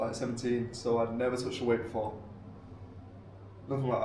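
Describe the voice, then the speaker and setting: A man's voice comes with audible room echo. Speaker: vlogger. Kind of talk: casual chat.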